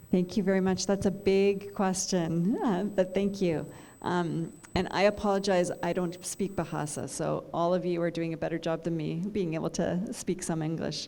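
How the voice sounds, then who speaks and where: A woman with a Canadian accent speaks at a moderate pace in a fairly low pitch, with fairly even intonation and an ordinary speaking voice. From Canada. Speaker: midwifery lecturer. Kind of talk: guest lecture Q&A.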